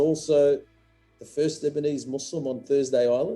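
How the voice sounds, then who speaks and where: A man's speech keeps a moderate pace and ordinary pitch variation while music plays behind it. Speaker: museum founder, interviewer. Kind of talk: interview questions.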